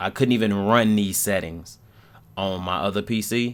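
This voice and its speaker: Fairly low and fairly even in intonation, a man talks in an ordinary speaking voice. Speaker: gaming YouTuber. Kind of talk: voice-over commentary on gameplay. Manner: casual, relaxed.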